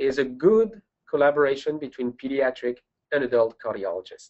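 This man's voice sits fairly high in pitch and moves at a moderate pace. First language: French. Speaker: pediatric and adult congenital cardiologist. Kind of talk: webinar presentation. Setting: online webinar.

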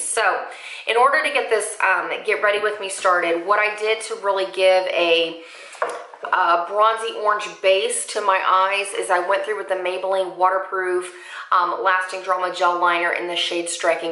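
A woman speaks at a moderate pace with fairly even intonation, with audible room echo and a quiet background. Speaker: beauty vlogger. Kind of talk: makeup tutorial chat.

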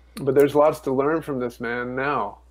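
A man's monotone, flat intonation. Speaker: guest. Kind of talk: interview answer. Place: home room. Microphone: earbuds.

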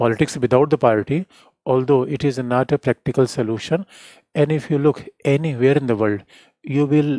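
The tone is dark and mellow, with ordinary pitch variation. The background is quiet. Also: man, dry sound with no echo. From India. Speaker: political science teacher. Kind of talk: lecture. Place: studio. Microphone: headset.

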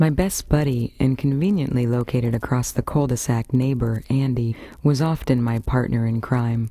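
The speech moves at a moderate pace. There are hardly any pauses. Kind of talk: personal memoir narration, radio storytelling. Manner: reflective, nostalgic, storytelling.

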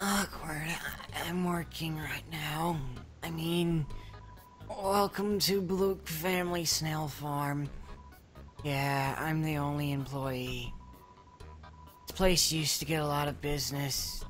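A put-on character voice speaks at middle pitch and a fairly slow pace, with long, frequent pauses. Clear music plays in the background. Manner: awkward, unenthusiastic.

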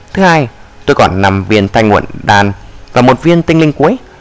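Lively intonation marks a man speaking at a fairly quick pace. Noticeable background noise sits behind him. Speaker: audiobook narrator. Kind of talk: reading aloud.

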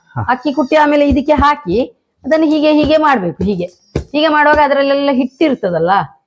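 A woman's voice sits at a high pitch. Her intonation is lively and her loudness very even. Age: old. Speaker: owner of a traditional ancestral house. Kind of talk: guided house tour, casual explanation.

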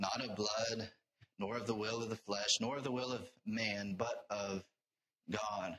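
Fairly even intonation marks this man's bright, sharp tone. The background is quiet. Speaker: preacher. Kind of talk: sermon. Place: church. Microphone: lapel.

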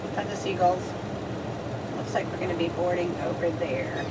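Loud background noise sits under speech delivered at a fairly quick pace. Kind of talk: casual vlog chat. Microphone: camera far.

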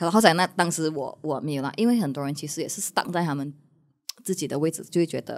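Speaking at a very fast pace, a woman with a very deep, low pitch shows ordinary pitch variation over a quiet background. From Malaysia. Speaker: content creator. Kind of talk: casual chat. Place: studio. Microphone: studio mic.

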